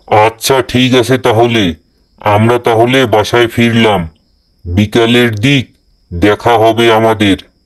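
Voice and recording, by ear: A man's cartoonish character voice at a medium pitch, fairly slow in pace, with fairly even intonation. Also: very even loudness.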